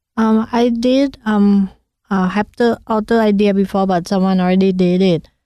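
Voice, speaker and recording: A woman speaks in a Thai accent at a medium pitch. Her loudness stays very even. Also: fairly even intonation, moderate pace, quiet background. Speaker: food cart owner and chef. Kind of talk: casual interview. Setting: studio.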